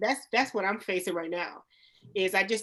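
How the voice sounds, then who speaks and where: A woman speaks at a very fast pace and a medium pitch. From Youngstown, Ohio. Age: 30s. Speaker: nail salon owner. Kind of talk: panel discussion. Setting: studio.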